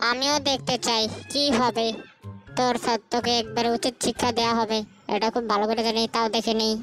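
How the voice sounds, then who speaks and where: A put-on character voice sounds female and sits at a fairly high pitch. Clear music plays in the background. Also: moderate pace. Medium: fan dub. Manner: taunting, gleeful.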